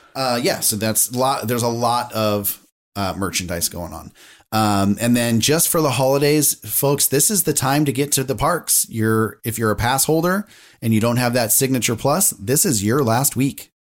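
A man with a normal speaking voice and medium pitch talks at a moderate pace with lively intonation. The recording is very clean, the background silent. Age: 40s. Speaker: podcast co-host, former theme park employee. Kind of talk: casual chat. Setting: home podcast recording.

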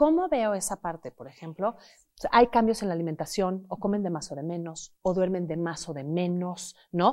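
On a very clean recording with a silent background, a woman speaks at a moderate pace in a medium pitch with ordinary pitch variation and big swings in loudness. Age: 40s. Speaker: psychotherapist. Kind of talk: interview. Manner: animated.

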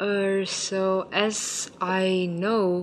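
A woman speaks at a medium pitch. Background noise is noticeable. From Ukraine, Vietnamese parents. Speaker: plant-based food entrepreneur. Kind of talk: interview.

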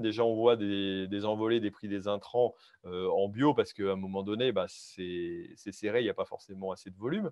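At a moderate pace, a man speaks with medium pitch and ordinary pitch variation, an ordinary speaking voice. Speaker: farmer and podcast host. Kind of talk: live show hosting.

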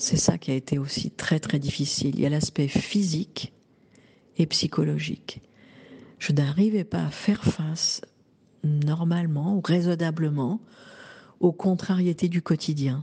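A woman's very deep, low, somewhat breathy voice with a dark, mellow tone, fairly even intonation, a fairly slow pace and long, frequent pauses. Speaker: woman giving a menopause testimony. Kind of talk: testimony. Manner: halting.

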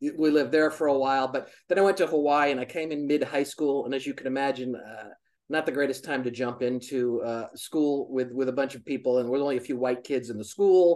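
Using a plain, everyday voice, a man speaks at a fairly high pitch with fairly even intonation. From US, military family, moved around. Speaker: charity founder, optical business worker. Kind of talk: casual interview chat.

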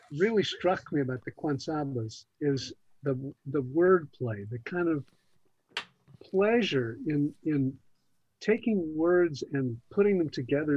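Using a plain, everyday voice, a man with a fairly high pitch talks at a fairly slow pace. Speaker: podcast producer. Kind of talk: casual chat.

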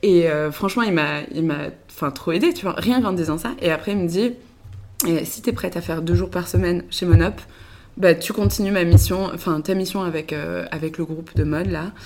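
Speaking at a moderate pace with lively intonation, a woman uses a fairly low pitch marked by vocal fry. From western France (Le Mans, Angers). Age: 20s. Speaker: tech startup co-founder. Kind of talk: casual interview chat. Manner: hesitant, many fillers.

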